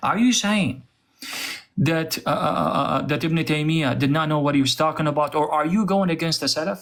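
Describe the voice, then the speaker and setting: This man speaks with an Arabic accent at a moderate pace. His pitch sits fairly high. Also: ordinary pitch variation, very even loudness. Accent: Arab. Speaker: religious debater, apologist. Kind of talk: heated debate.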